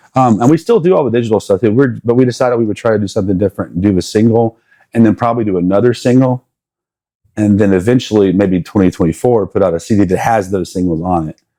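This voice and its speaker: With an American accent, a man talks at a very fast pace in a fairly low pitch. His tone is dark and mellow, with ordinary pitch variation. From South Carolina. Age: 40s. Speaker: musician and music teacher. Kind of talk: casual interview chat.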